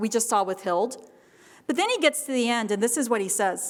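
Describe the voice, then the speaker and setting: In an American accent, a woman speaks at a moderate pace with a high pitch. Her tone is animated and her intonation lively. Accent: Texas accent, comes out at times. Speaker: history professor. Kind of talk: keynote lecture.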